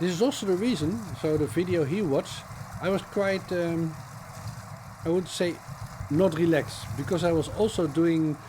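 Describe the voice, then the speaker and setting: A man with a Dutch accent speaks at a moderate pace and a fairly high pitch. Noticeable background noise runs behind him. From Netherlands. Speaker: cycling vlogger. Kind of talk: voiceover commentary. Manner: halting, many fillers.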